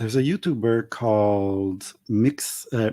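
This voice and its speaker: A man with a French accent, a dark, mellow tone and lively intonation at a very slow pace, in a very clean recording with a silent background. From Montreal, Quebec. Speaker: YouTuber, tarot reader. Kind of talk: casual interview chat. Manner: loud, passionate; halting.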